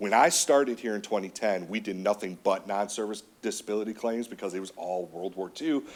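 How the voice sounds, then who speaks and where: A man speaks passionately at a fairly quick pace. His pitch sits fairly low, with ordinary variation. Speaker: county veterans services officer. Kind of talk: public meeting presentation.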